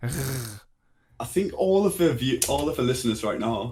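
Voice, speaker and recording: A man's somewhat breathy voice with a strong English accent. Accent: English, thick. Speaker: podcast co-host. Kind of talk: casual chat.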